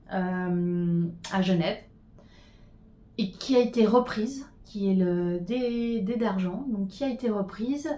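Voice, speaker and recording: Speech moves at a very slow pace. Its pitch shows ordinary variation. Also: woman. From Switzerland, Geneva. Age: 40s. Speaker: knitting podcaster. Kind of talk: casual chat. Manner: halting.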